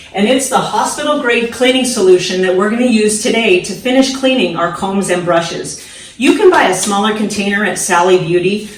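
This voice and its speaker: With noticeable background noise behind her, a woman talks at a fairly quick pace with hardly any pauses, in an upbeat tone at medium pitch with ordinary pitch variation. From San Diego, California. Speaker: hairstylist. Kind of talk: casual talk to camera, DIY tutorial. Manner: upbeat, friendly, coach-like.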